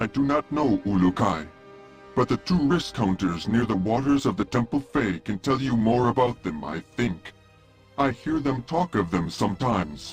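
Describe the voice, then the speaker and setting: A man speaks in a put-on character voice. Clear music plays in the background. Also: medium pitch for a man, moderate pace. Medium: video game. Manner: formal, polite, no contractions.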